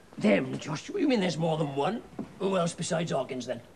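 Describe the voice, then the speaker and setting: A raspy, put-on character voice moves at a fairly quick pace over clear background noise. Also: man, high pitch for a man. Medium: short film. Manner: sly, wheedling.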